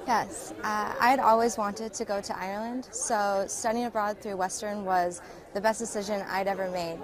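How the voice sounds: A woman at medium pitch, fairly even in intonation, with few pauses.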